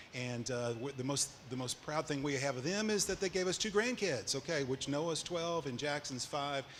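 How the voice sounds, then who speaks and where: A man with an Arkansas accent speaks with ordinary pitch variation. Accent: Southern US (Arkansas). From Arkansas, Little Rock and Cleburne County. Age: 60s. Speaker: entrepreneur. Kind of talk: onstage interview. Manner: halting.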